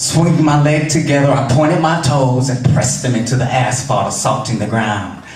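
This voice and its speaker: A man with a medium pitch speaks with fairly even intonation. Noticeable background noise runs behind him. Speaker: spoken word poet. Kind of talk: performance poetry. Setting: live venue.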